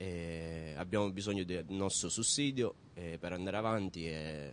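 The man talks fairly slowly. His voice is very deep and low. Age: 20s. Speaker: laid-off supermarket worker. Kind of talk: news interview.

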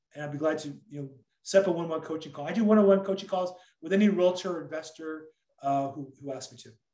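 A man with an American accent talks fast in a fairly high voice with a dark, mellow tone, ordinary pitch variation and audible room echo.

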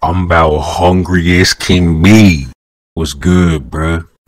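Putting on a character voice, a man speaks very slowly at a very deep, low pitch with fairly even intonation. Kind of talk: comic street slang. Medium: comedy sketch. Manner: loud, profane, slangy.

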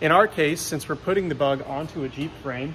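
Over light background noise, a man talks with ordinary pitch variation. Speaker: car builder vlogger. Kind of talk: casual vlog chat. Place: workshop. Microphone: phone near.

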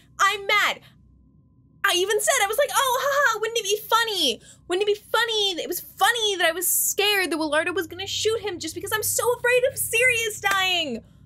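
With a bright, sharp tone, a woman uses a raised, projected voice at a fairly quick pace, her pitch varying in an ordinary way. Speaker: gaming streamer. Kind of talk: casual reaction commentary. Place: home room.

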